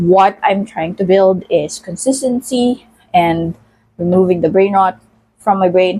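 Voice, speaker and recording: Very slow female speech, medium-pitched, with a dark, mellow tone. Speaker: vlogger. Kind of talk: casual vlog monologue while cooking. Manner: halting, many fillers.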